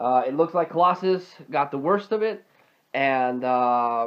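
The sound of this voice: A man's clear, smooth tone with lively intonation at a fairly slow pace. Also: medium pitch for a man.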